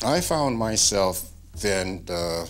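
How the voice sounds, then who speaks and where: The man's pitch is very deep and low, with vocal fry. Audible room echo is present. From Texas, Fort Bend County area. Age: 70s. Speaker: interviewee recounting his life. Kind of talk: life story interview. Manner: halting, many fillers and repetitions.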